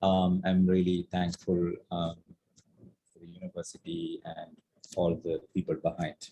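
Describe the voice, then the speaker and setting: In a Keralan accent, a man speaks with a very deep, low pitch and monotone, flat intonation. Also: fairly slow pace, big swings in loudness. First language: Malayalam. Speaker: artist. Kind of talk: panel discussion. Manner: halting, many fillers.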